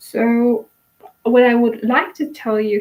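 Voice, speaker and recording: This is a woman with a Polish accent. She talks fairly slowly. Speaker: YouTuber selling courses. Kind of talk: personal monologue to camera. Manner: halting, many fillers.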